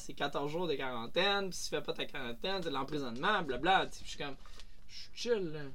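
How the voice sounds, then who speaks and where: With audible room echo, a man with a high pitch talks at a fairly quick pace and lively intonation. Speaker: professional sailboat captain. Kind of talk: casual interview. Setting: aboard anchored sailboat.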